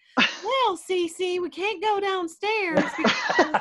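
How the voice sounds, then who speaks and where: Using a put-on character voice, a man talks at an extremely high pitch. His delivery is very slow. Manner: sweet, bright.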